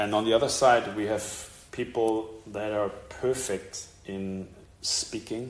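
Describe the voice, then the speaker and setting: The speech comes at a very slow pace with long, frequent pauses and monotone, flat intonation, and audible room echo. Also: man, fairly low pitch for a man. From Germany. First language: German (speaking Portuguese). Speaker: preacher. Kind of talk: sermon. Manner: short phrases paused for interpreter.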